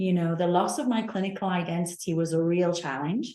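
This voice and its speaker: Someone with a Manchester accent talks at a moderate pace with ordinary pitch variation. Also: woman. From northern England, Manchester. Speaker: nursing professor and researcher. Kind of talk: panel discussion.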